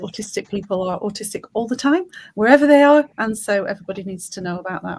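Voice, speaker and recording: A woman with a Lancashire accent and a somewhat breathy voice. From Lancashire, northern England. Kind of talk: panel discussion.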